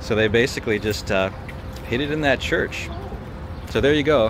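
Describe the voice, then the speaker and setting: Recorded with a dry sound and no echo but noticeable background noise, a man speaks with ordinary pitch variation. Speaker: walking tour vlogger. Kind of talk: casual vlog chat. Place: street. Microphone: phone near.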